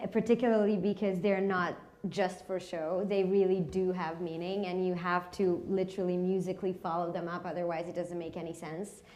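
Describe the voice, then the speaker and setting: A woman's medium-pitched voice with a dark, mellow tone and monotone, flat intonation, at a fairly quick pace with hardly any pauses, in audible room echo. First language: not English. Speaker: actor. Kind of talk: post-show panel discussion. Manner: halting, many fillers.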